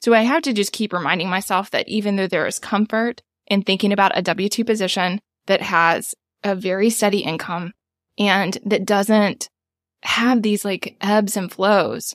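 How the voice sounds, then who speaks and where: An ordinary speaking voice: a woman with an American accent at a medium pitch and moderate pace, with fairly even intonation, in a dry, close sound with no echo on a very clean recording with a silent background. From United States. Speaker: small business owner and podcast producer. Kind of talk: coaching session conversation.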